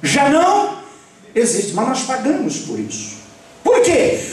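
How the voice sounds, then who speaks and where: Over noticeable background noise and audible room echo, a man talks in an animated tone with lively intonation. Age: 60s. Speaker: pastor. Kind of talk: sermon. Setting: church.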